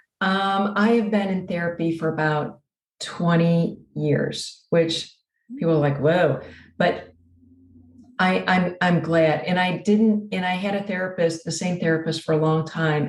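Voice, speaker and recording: A somewhat breathy woman at a fairly low pitch, speaking at a fairly slow pace with fairly even intonation. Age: 60s. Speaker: abuse survivor and author. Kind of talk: interview.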